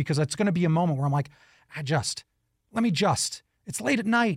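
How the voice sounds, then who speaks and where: Someone with an American accent speaks at a fairly quick pace with very wide pitch swings, in a dry, close sound with no echo on a very clean recording with a silent background. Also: man. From New York. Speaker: radio host. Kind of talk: interview.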